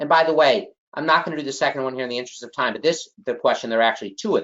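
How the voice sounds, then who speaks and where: A man with a strong Chicago accent and lively intonation. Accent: heavy Chicago. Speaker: exam prep instructor. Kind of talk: online class lecture. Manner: emphatic, repetitive.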